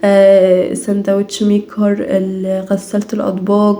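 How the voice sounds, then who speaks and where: Noticeable background noise sits behind the woman's medium-pitched voice. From Egypt, Minya (Upper Egypt). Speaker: home and family vlogger. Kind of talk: casual vlog chat. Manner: natural, unaffected speech; halting, with fillers and restarts.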